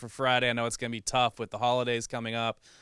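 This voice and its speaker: In a very clean recording with a silent background and a dry, close sound with no echo, a man with an American accent speaks very fast, his fairly low pitch carrying a bright, sharp tone. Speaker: sports show host. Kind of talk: sports talk show.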